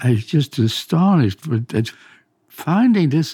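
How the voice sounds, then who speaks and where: With a slight Swedish accent, a man talks in a dark, mellow tone while his pitch swings very widely. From Sweden. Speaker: retired pathologist and adventurer. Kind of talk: interview recollection.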